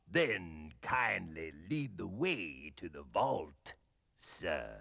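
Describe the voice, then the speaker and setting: A cartoonish character voice moves through very wide pitch swings. The pace is very slow. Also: man, very deep, low pitch for a man. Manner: formal, polite.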